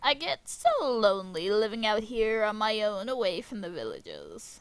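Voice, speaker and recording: A woman puts on a character voice at a fairly high pitch. She speaks at a moderate pace. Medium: solo performance. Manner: falsely sweet, sly.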